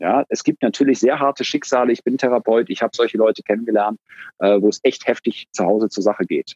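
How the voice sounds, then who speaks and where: A man's very fast speech at a medium pitch, with fairly even intonation. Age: 50s. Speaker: organizational consultant and therapist. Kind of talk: interview conversation.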